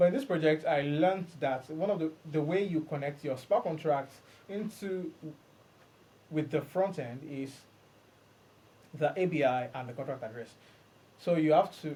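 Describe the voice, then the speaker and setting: This man's voice is fairly high and somewhat breathy. It has a dark, mellow tone and ordinary pitch variation. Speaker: podcast host and blockchain developer. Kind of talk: solo podcast monologue. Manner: fast.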